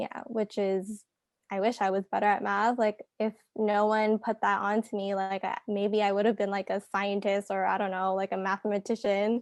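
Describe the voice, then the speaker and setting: Soft-spoken and in a Canadian accent, a woman talks at a moderate pace with monotone, flat intonation. The sound is dry and close with no echo, and the background is quiet. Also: medium pitch for a woman. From Canada. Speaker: podcast guest. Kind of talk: casual chat.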